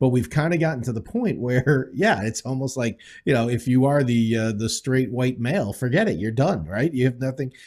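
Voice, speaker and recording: A man talks at a moderate pace with a medium pitch, ordinary pitch variation and hardly any pauses, in a normal speaking voice. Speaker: podcast co-host.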